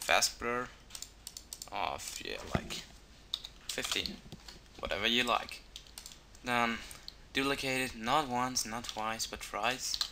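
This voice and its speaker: With noticeable background noise, a man at medium pitch speaks at a very slow pace, leaving long, frequent pauses. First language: not English. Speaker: video tutorial maker. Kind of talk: tutorial. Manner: halting, many fillers.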